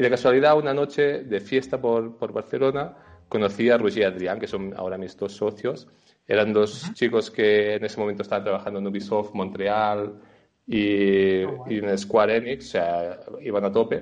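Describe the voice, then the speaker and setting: A man speaks in an unremarkable speaking voice at a fairly low pitch and moderate pace, with ordinary pitch variation. The background is quiet. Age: 30s. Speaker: video game designer and illustrator. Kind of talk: interview.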